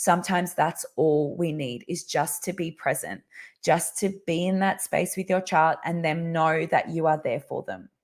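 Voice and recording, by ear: This croaky, put-on character voice moves at a moderate pace with fairly even intonation. The recording is very clean, with a silent background. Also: woman, fairly low pitch for a woman.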